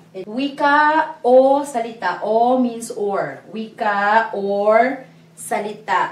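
Very slow female speech with audible room echo. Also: ordinary pitch variation. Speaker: language teacher. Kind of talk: lecture. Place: classroom. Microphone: camera far.

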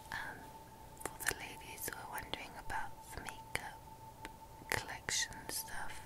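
A soft-spoken woman at a fairly slow pace over loud background noise. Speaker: university student vlogger. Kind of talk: casual vlog chat. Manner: soft, hushed ASMR speaking voice. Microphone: earbuds.

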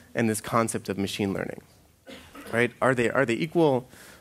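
A man's intonation is lively as he talks. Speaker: conference speaker. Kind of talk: lecture. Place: stage.

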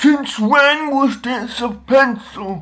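A man performs in a put-on character voice.

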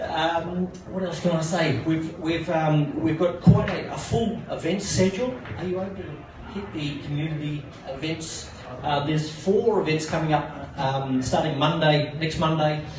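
Clearly audible background noise plus echo from the room. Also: man. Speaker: coworking space community manager. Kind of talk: pitch presentation. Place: bar. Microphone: pa.

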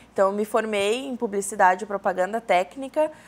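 Her pitch moves with ordinary variation. The woman keeps a moderate pace. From São Leopoldo, Rio Grande do Sul, southern Brazil; Rio Grande do Sul, Brazil. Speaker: business consultant; talk show guest. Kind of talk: TV interview. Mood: relaxed, friendly. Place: studio. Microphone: lapel.

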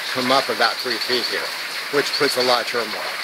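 A man speaks at a fairly quick pace, the sound dry with no echo but with loud background noise. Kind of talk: walking tour explanation. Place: forest. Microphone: phone near.

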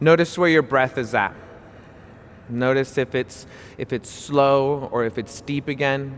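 A calm man's medium-pitched voice at a fairly slow pace, with fairly even intonation, long, frequent pauses and light background noise. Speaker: yoga instructor. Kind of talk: guided yoga class with spoken cues. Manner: calm, clear, instructional; encouraging, friendly. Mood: calm, soothing. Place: hall.

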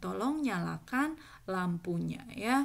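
On a very clean recording with a silent background, a woman talks. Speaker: Japanese language teacher. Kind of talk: tutorial.

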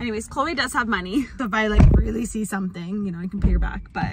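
A woman's voice with ordinary pitch variation, dry and echo-free, over loud background noise. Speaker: family vlogger. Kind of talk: casual vlog chat. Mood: cheerful, chatty. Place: car. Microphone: phone near.

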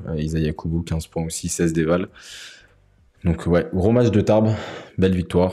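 Against a silent background in a very clean recording, a man with a very deep, low pitch and a dark, mellow tone speaks at a fairly slow pace with fairly even intonation and long, frequent pauses. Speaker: talk show host. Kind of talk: casual chat. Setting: livestream.

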